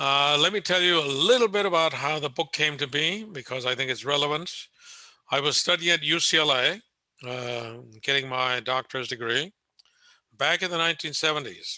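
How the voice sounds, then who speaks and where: A man's bright, sharp, fairly high voice with an American accent, ordinary pitch variation and a moderate pace. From Southern California. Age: 80s+. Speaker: retired history professor and author. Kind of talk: lecture. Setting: video call. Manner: conversational, with frequent filler.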